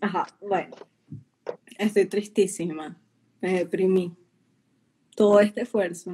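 Very slow and with long, frequent pauses, a woman speaks in a dark, mellow, somewhat breathy tone at a medium pitch with monotone, flat intonation. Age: young. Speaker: executive producer. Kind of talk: casual interview. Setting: live stream.

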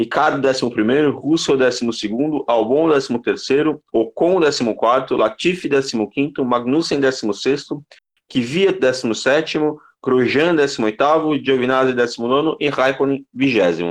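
A man's plain, everyday voice at medium pitch, with very even loudness, ordinary pitch variation and a moderate pace. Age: 20s. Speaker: motorsport podcast host. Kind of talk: casual sports chat.

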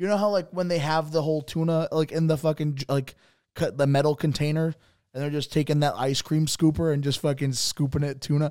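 In a very clean recording with a silent background, a man with an American accent talks very fast, his fairly high-pitched voice dark and mellow in tone. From Bridgeport, Connecticut. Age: 20s. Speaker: comedian and podcast co-host. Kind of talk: casual chat. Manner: animated, frequent laughing.

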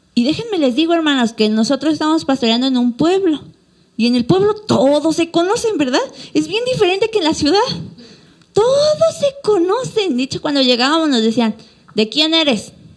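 This woman has a high, animated voice with very wide pitch swings and very even loudness. She speaks at a moderate pace over noticeable background noise. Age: 20s. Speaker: pastor. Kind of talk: sermon.

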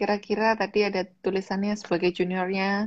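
A woman's voice sits at a medium pitch, delivered with monotone, flat intonation at a moderate pace. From Malang, East Java, Indonesia. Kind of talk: casual interview.

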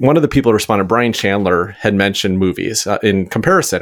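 Over a very clean recording with a silent background, a man with a normal speaking voice talks at a fairly quick pace, his pitch fairly low with ordinary variation. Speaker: board game podcast host. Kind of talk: casual chat, game review.

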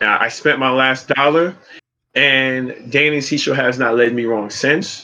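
A man with a Brooklyn accent speaks at a fairly slow pace with fairly even intonation. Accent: New York (Brooklyn). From US, Brooklyn, New York City. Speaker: streamer and rideshare driver. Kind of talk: casual chat.

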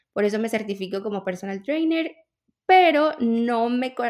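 A woman with an ordinary speaking voice, fairly high in pitch, at a fairly slow pace. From Venezuela. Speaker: personal trainer. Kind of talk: interview.

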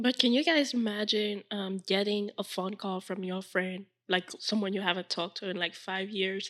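At a moderate pace, a woman with a medium pitch speaks in an ordinary speaking voice. Her intonation is fairly even. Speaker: podcast host. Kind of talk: casual chat.

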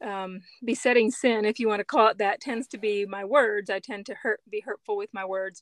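Heard on a very clean recording with a silent background and a dry, close sound with no echo, a woman with an American accent has a plain, everyday voice, fairly high pitch, ordinary pitch variation and a moderate pace. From US, Mennonite community. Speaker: writer and photographer. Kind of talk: interview.

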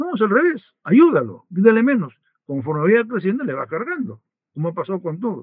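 A man's fairly quick speech with very wide pitch swings. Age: 80s+. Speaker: retired business leader, banker. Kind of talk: interview.

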